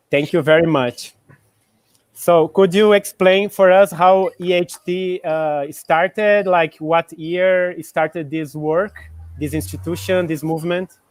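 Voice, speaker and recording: A man with a Portuguese accent speaks at a high pitch and a fairly slow pace. His intonation stays fairly even, and the sound is dry and close with no echo. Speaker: interviewer. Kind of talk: interview. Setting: live video call.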